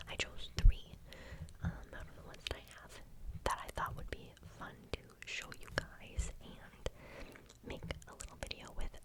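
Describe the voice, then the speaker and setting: Whispering with long, frequent pauses comes through over noticeable background noise. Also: moderate pace. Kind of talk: ASMR whisper video. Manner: whispered, soft-spoken.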